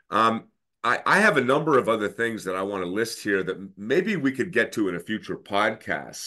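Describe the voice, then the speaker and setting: A man's fairly low voice, bright and sharp in tone, with lively intonation over a quiet background. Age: 50s. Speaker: podcast host. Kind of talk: interview conversation.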